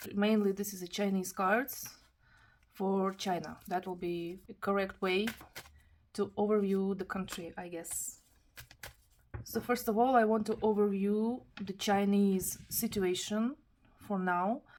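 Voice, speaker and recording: Someone with a non-native accent talks at a fairly slow pace with fairly even intonation. Long pauses come often. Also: woman, medium pitch for a woman. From Kazakhstan. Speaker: tarot reader. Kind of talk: tarot reading monologue. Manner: halting, with self-corrections.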